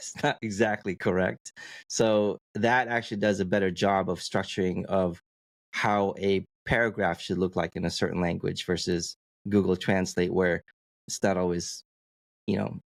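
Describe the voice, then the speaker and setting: A very deep, low male voice at a moderate pace, fairly even in intonation, with dry, close sound and no echo. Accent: non-native. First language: not English. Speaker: podcast co-host. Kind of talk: casual podcast chat. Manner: halting, many repetitions.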